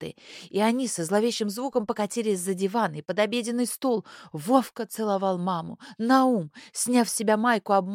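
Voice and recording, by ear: This is someone reading aloud in a natural voice, with ordinary pitch variation.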